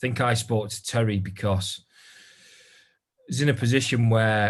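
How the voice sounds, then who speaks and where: In a Geordie accent, a man speaks at medium pitch. His voice is somewhat breathy, with fairly even intonation. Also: moderate pace. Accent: northern English (Geordie). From northern England, Newcastle. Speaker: recruitment business owner. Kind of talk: interview. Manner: hesitant, many fillers.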